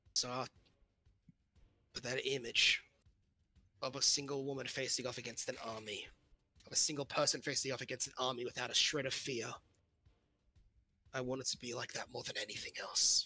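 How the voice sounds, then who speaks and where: A man uses a raspy, put-on character voice at medium pitch with a solemn tone. He leaves long, frequent pauses. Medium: actual play. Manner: earnest, solemn.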